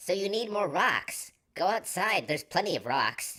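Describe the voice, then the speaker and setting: A woman at medium pitch does a put-on character voice at a moderate pace. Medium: read story. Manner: casual, relaxed.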